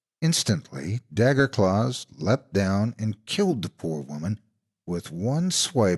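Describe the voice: A quiet background behind plain reading aloud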